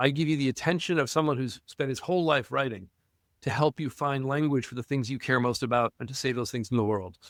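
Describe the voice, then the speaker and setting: Speaking at a very fast pace, a man sounds enthusiastic, with medium pitch and ordinary pitch variation. The sound is dry and close with no echo, on a very clean recording with a silent background. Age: 60s. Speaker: university professor and historian. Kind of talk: podcast interview conversation. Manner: animated.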